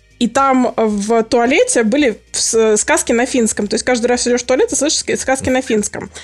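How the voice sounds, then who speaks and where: A woman speaks at a high pitch and a moderate pace, with fairly even intonation and hardly any pauses. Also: very even loudness. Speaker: polyglot and long-time gamer. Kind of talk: casual chat.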